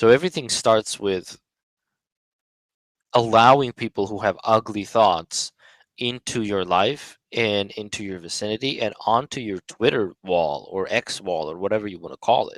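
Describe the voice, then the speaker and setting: In a dry, close sound with no echo, a man with a fairly low pitch talks with ordinary pitch variation and big swings in loudness. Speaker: social media commentator. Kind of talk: monologue on a live audio space. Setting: online live audio room. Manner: slow and gradual; halting, many fillers.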